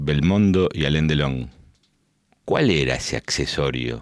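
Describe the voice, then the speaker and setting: A man with an Argentine accent speaks at a fairly slow pace on a very clean recording with a silent background. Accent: Rioplatense Argentine Spanish. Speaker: podcast host. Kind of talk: casual interview chat. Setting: studio.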